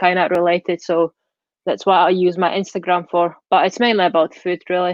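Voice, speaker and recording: A woman speaks with a Czech accent at a medium pitch. Her pace is moderate. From Czech Republic. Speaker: vegan food blogger. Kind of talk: interview.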